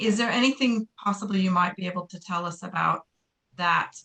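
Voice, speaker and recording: A woman with an American accent speaks in a bright, sharp tone. Her intonation is fairly even. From United States. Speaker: parent asking a question. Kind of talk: audience question. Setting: video call.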